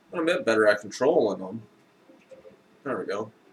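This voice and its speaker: A man's voice over noticeable background noise. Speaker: indie game developer streamer. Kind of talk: tutorial-style dev stream commentary. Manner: halting, many fillers.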